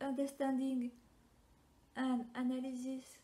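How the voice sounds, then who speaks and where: A woman's dark, mellow tone in a French accent, high in pitch, monotone and flat in intonation, at a very slow pace. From France. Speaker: personality typology content creator. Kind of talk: reading a prepared answer to camera.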